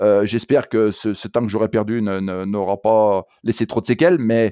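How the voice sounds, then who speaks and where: A man with a Saint-Étienne accent speaks at a medium pitch and a fairly slow pace. The recording is very clean with a silent background, and the sound is dry and close with no echo. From France, Saint-Étienne. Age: 60s. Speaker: running coach. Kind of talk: interview. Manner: halting, many hesitations and repetitions.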